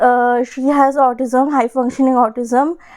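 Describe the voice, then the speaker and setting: This woman has a high-pitched voice. She speaks in a flat monotone. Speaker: book vlogger. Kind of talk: casual vlog talk. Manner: hesitant, many fillers.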